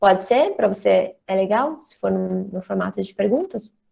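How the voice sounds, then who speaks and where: A woman's dark, mellow tone comes through with a quiet background behind it. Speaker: drama school director, co-host. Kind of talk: casual online chat, moderating questions. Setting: video call. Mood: warm, relaxed. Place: home room. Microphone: earbuds.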